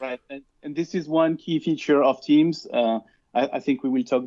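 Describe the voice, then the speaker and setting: A man talks with a French accent at a moderate pace. His pitch sits fairly high for a man. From France. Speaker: cloud solution architect. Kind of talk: interview.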